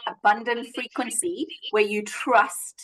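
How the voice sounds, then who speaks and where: A woman speaks loudly at a high pitch. Her tone is animated. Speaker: money coach. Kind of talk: casual chat.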